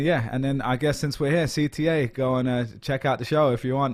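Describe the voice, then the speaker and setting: The pace is fairly quick. The speaker has a London accent. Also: man. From London, England. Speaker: podcast host, interview guest. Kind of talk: interview. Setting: call. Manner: casual, many fillers.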